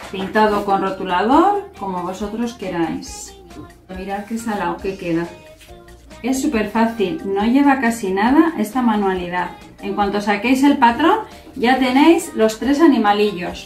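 A woman speaks at a fairly slow pace with audible room echo. Faint music sits in the background. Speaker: presenter. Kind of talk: tutorial. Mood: cheerful, warm. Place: home room. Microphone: camera far.

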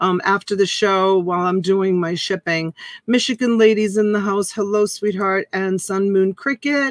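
A woman talks at a fairly slow pace. The sound is dry with no echo, and the background is quiet. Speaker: live auction host. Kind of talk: casual live stream chat greeting viewers. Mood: warm, cheerful, laughing. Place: home room. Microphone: webcam.

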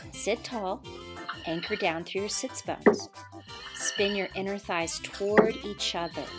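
Loud music plays behind a woman speaking at a fairly slow pace. Her pitch varies in an ordinary way. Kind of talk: exercise class cueing. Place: gym.

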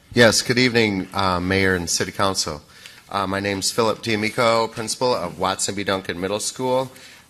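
With an unremarkable speaking voice, a man talks at a fairly quick pace in a fairly low pitch, his intonation fairly even. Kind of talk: public meeting presentation. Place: hall. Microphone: podium.

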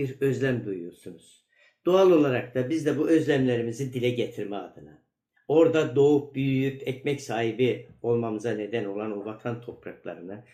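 A man with a medium pitch and a dark, mellow tone speaks at a moderate pace, showing ordinary pitch variation and big swings in loudness. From northeastern Turkey, Ardahan (Çıldır). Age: 60s. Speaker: teacher and author. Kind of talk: recorded video message. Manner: halting, frequent filler sounds.

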